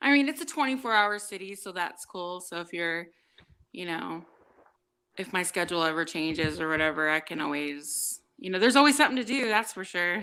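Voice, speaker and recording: A woman with an American accent, lively intonation and a bright, sharp tone, big swings in loudness, a fairly quick pace, and a very clean recording over a silent background. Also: medium pitch for a woman. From San Diego, California. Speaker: live stream participant. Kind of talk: casual chat.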